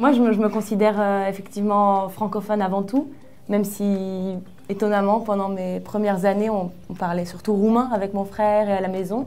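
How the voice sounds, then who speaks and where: A woman's monotone, flat delivery at a medium pitch, dark and mellow in tone, with audible room echo. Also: moderate pace. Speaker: writer. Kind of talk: casual interview.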